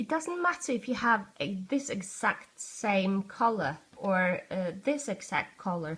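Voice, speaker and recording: A woman speaks at a fairly slow pace with a Norwegian accent. Her pitch swings very widely, and there is noticeable background noise. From Norway. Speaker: art tutorial youtuber. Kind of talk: tutorial. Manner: halting, searching for words.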